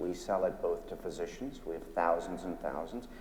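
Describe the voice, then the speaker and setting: This is a man's voice with noticeable background noise. Audible room echo is present as well. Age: 60s. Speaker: physician and company founder. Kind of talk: panel discussion.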